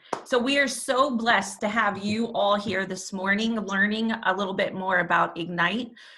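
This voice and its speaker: A woman with an American accent speaks at a moderate pace, her pitch medium and her pauses few. The room echoes audibly, and background noise is noticeable. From New York. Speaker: nonprofit volunteer leader. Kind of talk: online information session presentation. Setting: video call. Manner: loud.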